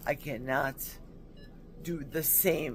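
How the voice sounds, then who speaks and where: A woman talks very slowly in a very deep, low voice. Music plays in the background. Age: 60s. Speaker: hip replacement patient. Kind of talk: casual talk to camera. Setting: hospital room.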